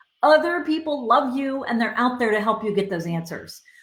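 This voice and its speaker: Lively in intonation and somewhat breathy, a woman talks at a fairly quick pace. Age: 60s. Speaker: career coach. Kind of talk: live Q&A advice session. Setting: Facebook Live stream. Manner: conversational, filler-heavy.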